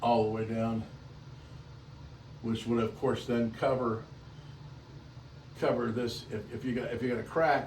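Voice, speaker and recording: Audible echo fills the room as a man speaks at a moderate pace. His pitch is medium, and background noise is noticeable. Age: 70s. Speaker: wooden boat restorer. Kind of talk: recorded video update to a client. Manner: halting, many fillers and repeats.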